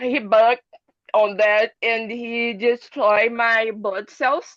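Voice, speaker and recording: In a Portuguese accent, a woman speaks at a very slow pace with a fairly high pitch. Her intonation is monotone and flat, and the sound is dry and close with no echo. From Brazil. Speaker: long covid patient. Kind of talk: testimony. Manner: halting.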